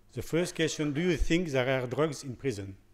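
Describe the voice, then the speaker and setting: The speaker has a French accent and talks at a moderate pace with ordinary pitch variation. The recording is very clean, with a silent background. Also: man. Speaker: prison doctor. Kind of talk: conference talk. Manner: halting.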